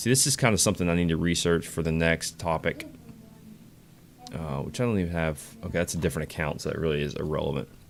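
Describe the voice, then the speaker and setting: Over background music, a man with a very deep, low voice talks at a very fast pace, broken by long, frequent pauses. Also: ordinary pitch variation. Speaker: game streamer. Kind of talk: live gameplay stream chat. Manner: casual, conversational.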